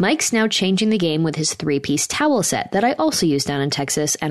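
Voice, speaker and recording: A woman talks at a very fast pace with lively intonation and a fairly low pitch. Noticeable background noise is present. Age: 20s. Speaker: podcast host. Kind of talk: casual chat. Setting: studio. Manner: soft-spoken.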